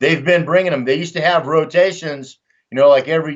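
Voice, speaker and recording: In a Texan accent, a man speaks at a fairly high pitch. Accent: Texan American English. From Texas, Dallas. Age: 60s. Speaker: war veteran and volunteer fighter. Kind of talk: casual interview talk. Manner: animated.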